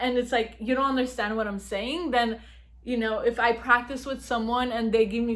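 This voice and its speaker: A loud, high-pitched woman's voice at a fairly quick pace, amid noticeable background noise. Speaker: YouTuber giving advice. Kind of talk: casual vlog talk.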